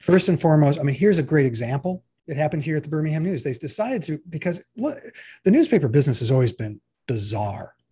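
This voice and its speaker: A man speaks very fast in a fairly high voice with lively intonation, his dark, mellow tone somewhat breathy. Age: 60s. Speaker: editorial cartoonist. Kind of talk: casual interview conversation.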